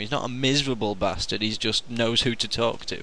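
This man's bright, sharp tone moves at a very fast pace. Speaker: podcast host. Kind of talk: casual chat.

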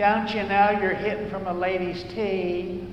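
A squeaky, put-on character voice at middle pitch moves at a moderate pace with clear echo around it. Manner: scolding, snippy.

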